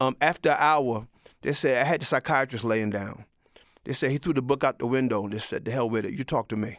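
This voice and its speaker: Recorded very cleanly against a silent background, a man talks at medium pitch with ordinary pitch variation. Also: dry, close sound with no echo. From Mount Vernon, New York. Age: 60s. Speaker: vlogger. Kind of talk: casual monologue. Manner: animated.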